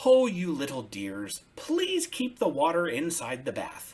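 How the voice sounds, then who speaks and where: A man in a put-on character voice, high-pitched and at a fairly slow pace. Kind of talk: bedtime story. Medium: read story. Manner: warm, fussing.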